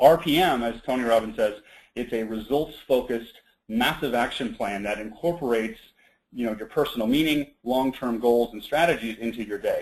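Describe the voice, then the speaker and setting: Against a quiet background, a man talks at a fairly quick pace. His pitch sits in the medium range and moves with ordinary variation. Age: 30s. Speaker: webinar presenter on time management. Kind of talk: online seminar presentation. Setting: web conference call. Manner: fast.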